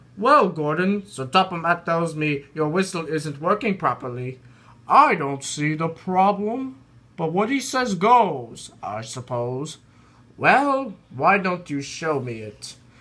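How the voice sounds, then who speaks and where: A man puts on a character voice pitched high. He delivers it at a fairly slow pace. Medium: read story.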